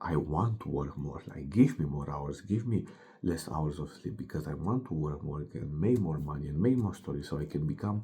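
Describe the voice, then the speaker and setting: Vocal fry runs through this man's very deep, low voice. His tone is dark and mellow. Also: lively intonation, moderate pace. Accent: Romanian. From Romania. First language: Romanian. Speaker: fitness coach. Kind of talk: motivational monologue. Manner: animated.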